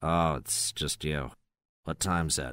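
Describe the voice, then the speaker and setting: Using a put-on character voice, a man speaks raspy and very deep at a fairly slow pace, the sound dry and close with no echo. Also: very clean recording, silent background. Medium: read story.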